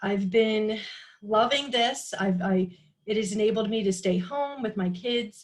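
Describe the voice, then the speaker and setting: The speaker talks at a fairly slow pace with an American accent. The voice is somewhat breathy. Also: woman. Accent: Philly accent, comes out when talking a while. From Philadelphia, Pennsylvania. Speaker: direct sales team leader. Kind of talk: group video call introduction. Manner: hesitant, many fillers.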